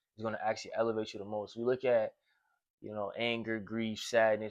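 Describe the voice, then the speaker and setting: A man speaks at a fairly quick pace with an American accent. His pitch is medium, and the background is quiet. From Portland, Oregon. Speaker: self-improvement podcaster. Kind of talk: casual conversation. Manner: animated.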